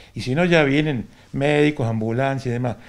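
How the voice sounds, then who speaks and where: A man's voice at medium pitch with ordinary pitch variation. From Argentina, Córdoba province. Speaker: retired volunteer firefighter. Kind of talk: interview testimony. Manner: halting. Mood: reminiscing, calm.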